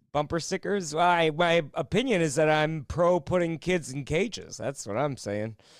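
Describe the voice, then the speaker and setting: On a very clean recording with a silent background, a man with an ordinary speaking voice talks at a fairly high pitch and moderate pace, using lively intonation and hardly any pauses. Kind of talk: casual comedy banter. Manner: sarcastic, joking.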